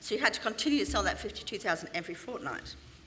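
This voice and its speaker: Over noticeable background noise, a woman talks very fast in a London accent. Her intonation is lively. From London, England. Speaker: business speaker. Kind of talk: motivational talk.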